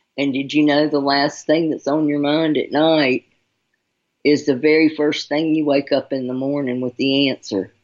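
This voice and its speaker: A woman's very deep, low voice at a moderate pace, flat and monotone throughout. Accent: Southern US. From Charlotte, North Carolina. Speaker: radio host giving intuitive readings. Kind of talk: radio talk show. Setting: radio show with callers.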